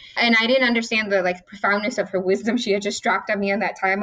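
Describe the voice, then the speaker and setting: Speaking at a very fast pace, a woman talks with a Midwestern American accent. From southwest Detroit, US Midwest. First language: Spanish is her second language, English first. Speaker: city council member. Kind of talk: interview.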